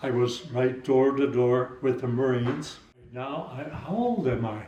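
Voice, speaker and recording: A man's medium-pitched voice with fairly even intonation, audible room echo and noticeable background noise. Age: 80s+. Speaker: war veteran. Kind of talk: interview.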